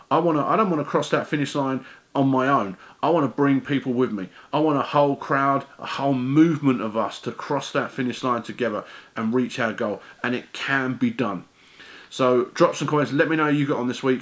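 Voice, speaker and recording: The speaker has an English accent, talking at a fairly quick pace with ordinary pitch variation. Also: man, fairly high pitch for a man. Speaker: weight-loss vlogger. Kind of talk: casual vlog monologue. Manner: fast when excited; stumbling over words.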